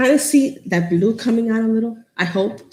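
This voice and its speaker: In a New York accent, a woman talks at a moderate pace and a fairly high pitch, somewhat breathy, with ordinary pitch variation. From New York City, the Bronx. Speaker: craft tutorial host. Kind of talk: live-stream craft tutorial. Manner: chatty, casual.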